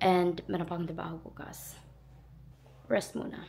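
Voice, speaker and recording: A woman speaks at a medium pitch with vocal fry. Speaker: vlogger. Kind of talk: casual vlog talk to camera.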